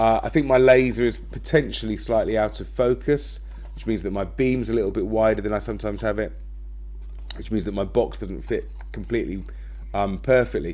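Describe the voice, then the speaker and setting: A man's loudness swings widely as he talks fairly fast, with noticeable noise in the background. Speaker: design and technology teacher. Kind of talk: tutorial.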